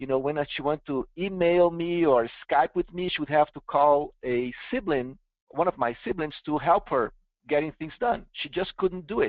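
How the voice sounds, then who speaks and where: Lively intonation marks this man's speech. He talks with a Brazilian accent at a moderate pace. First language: Portuguese. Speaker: software company founder and CEO presenting. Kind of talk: webinar product demo. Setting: online webinar.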